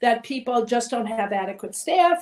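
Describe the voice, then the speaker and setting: Moderate pace and lively intonation from a woman. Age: old. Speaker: volunteer advocate for older people. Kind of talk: webinar interview.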